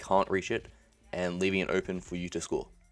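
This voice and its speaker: Music plays in the background. A man speaks in a very deep, low pitch. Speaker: gaming tutorial youtuber. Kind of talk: tutorial. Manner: fast.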